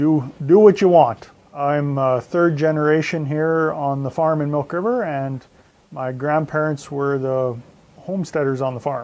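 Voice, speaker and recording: This man talks at a fairly slow pace with a Western Canadian accent, his pitch fairly high and ordinary in its variation. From Southern Alberta, Canada. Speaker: farmer. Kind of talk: interview.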